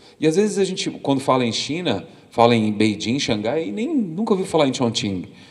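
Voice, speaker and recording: Audible room echo surrounds a man talking at a moderate pace. His fairly high voice makes very wide pitch swings. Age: 40s. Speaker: documentary photographer. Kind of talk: lecture. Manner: halting, frequent repetitions.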